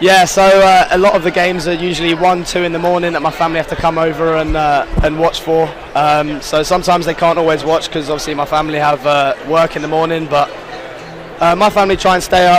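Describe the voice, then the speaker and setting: Very fast, monotone, flat speech plays over noticeable background noise. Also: man, high pitch for a man. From England. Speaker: college soccer player. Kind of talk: interview.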